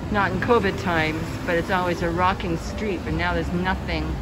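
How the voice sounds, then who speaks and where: The speech runs at a moderate pace. Loud background noise sits behind it. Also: woman. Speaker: travel vlogger. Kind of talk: casual vlog narration. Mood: relaxed, a bit wistful. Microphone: phone near.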